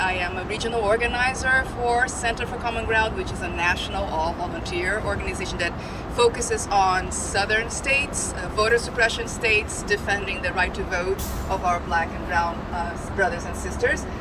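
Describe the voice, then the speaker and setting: With audible room echo and noticeable background noise, a woman speaks at a moderate pace in a medium pitch with ordinary pitch variation. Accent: Portuguese. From Brazil. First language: Portuguese. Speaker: volunteer organizer. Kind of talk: public speech at memorial gathering. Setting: outdoors.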